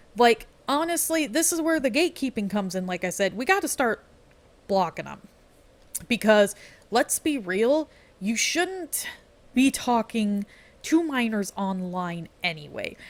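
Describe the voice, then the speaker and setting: A woman speaks at a fairly high pitch with very wide pitch swings. Her pace is fairly slow, with long, frequent pauses. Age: 20s. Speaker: gaming video creator. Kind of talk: casual commentary monologue. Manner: rambling, filler-heavy unscripted talk.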